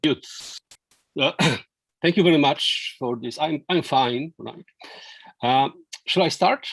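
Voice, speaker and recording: Speaking fairly slowly with long, frequent pauses, a voice with a non-native accent shows ordinary pitch variation in a dry, close sound with no echo. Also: man, fairly high pitch for a man. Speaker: law professor. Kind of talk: lecture. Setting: video call. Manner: halting, many fillers and repetitions.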